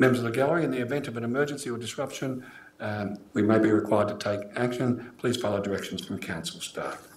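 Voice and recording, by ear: Strong room echo surrounds a man speaking at a fairly quick pace and a fairly low pitch.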